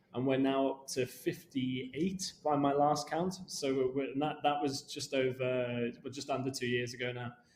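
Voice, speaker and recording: There is noticeable background noise behind a man with a medium pitch. He keeps a moderate pace and fairly even intonation, with hardly any pauses. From Liverpool, England. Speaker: business development at a property company. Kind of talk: podcast interview. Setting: studio podcast. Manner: hesitant, many fillers and repetitions.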